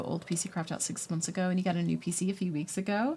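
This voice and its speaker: A woman with a fairly low pitch and vocal fry speaks at a very fast pace. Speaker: gaming streamer. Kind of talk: live stream chat with viewers. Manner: animated.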